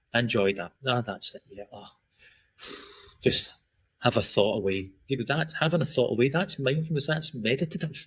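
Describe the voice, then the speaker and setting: With long, frequent pauses, a man with a Scottish accent speaks at medium pitch in a somewhat breathy voice. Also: lively intonation, moderate pace, big swings in loudness. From Scotland, then Australia from teens. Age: 40s. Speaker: performance and recovery coach. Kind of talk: podcast interview.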